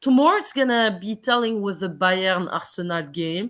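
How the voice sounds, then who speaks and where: Against a quiet background, a woman with a non-native accent lets her pitch swing very widely. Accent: foreign. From Quebec, Montreal. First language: Arabic. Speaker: football fan podcast guest. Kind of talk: casual chat.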